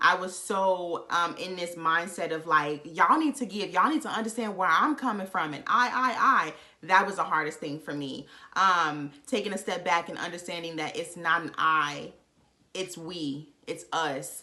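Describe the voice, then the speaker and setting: With a bright, sharp tone and an animated delivery, a woman speaks at a moderate pace, her pitch fairly low with ordinary variation. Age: 20s. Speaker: vlogger. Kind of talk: casual chat.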